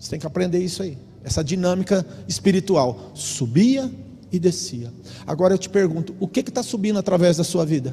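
Against noticeable background noise, a man speaks at a fairly quick pace in a high pitch, his tone animated and his intonation lively. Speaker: pastor. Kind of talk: sermon. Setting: church.

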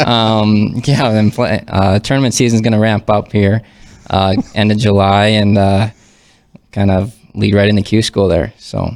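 In an Upper Midwest accent, a man with a fairly low pitch speaks at a fairly slow pace, his intonation fairly even and his loudness very even. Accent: Upper Midwest American. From North Dakota (Fargo). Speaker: professional golfer. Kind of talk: casual chat.

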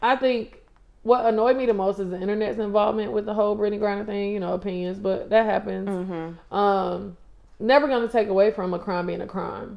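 The delivery moves at a fairly quick pace in an unremarkable speaking voice with fairly even intonation. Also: woman, medium pitch for a woman. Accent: American. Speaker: former college basketball player, pro overseas. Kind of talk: casual chat interview.

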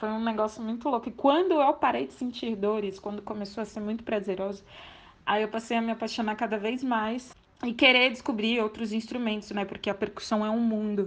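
A plain, everyday voice at a fairly quick pace, with fairly even intonation. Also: woman, fairly high pitch for a woman. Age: 20s. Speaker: percussionist. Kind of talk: testimony.

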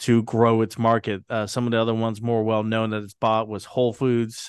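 The speaker is a man. He has an American accent. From Britain, then US. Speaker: podcast host, stock market commentator. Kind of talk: casual chat.

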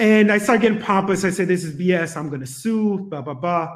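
Loud and high-pitched, a man speaks with ordinary pitch variation. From Jamaica. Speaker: podcast co-host guest. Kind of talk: casual interview with storytelling. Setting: video call. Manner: loud, animated.

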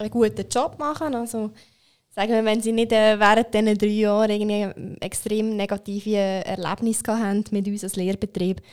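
A woman speaks at a moderate pace with fairly even intonation. Her fairly high pitch sits in an ordinary speaking voice. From Switzerland, Aargau (Zofingen). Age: 20s. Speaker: apprentice trainer at a bank. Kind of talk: podcast interview. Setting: studio.

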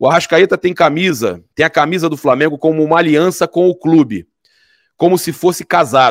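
Recorded dry and close with no echo, a man speaks at a fairly quick pace and fairly high pitch, with vocal fry. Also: very clean recording, silent background. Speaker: sports commentator. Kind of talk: sports debate.

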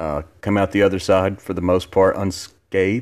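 Here is a man with a Southern US accent. The recording is very clean, with a silent background. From Alabama. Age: 30s. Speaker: podcast host. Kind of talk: casual monologue. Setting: home living room.

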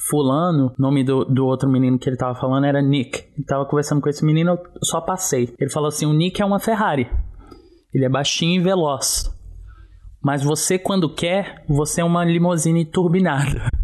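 With an unremarkable speaking voice, a man talks at a fairly quick pace and fairly high pitch, with ordinary pitch variation and very even loudness. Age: 20s. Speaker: dancer and life coach. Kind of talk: personal testimony.

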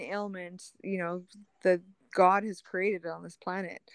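A woman with a Canadian accent and a plain, everyday voice speaks at a moderate pace. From Manitoba, Canada. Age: 30s. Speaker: spiritual social media personality. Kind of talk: casual chat.

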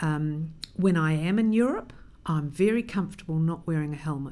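With a New Zealand accent, a woman speaks in a fairly low voice with a dark, mellow tone at a moderate pace, and room echo can be heard. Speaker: cycling advocacy leader. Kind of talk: interview.

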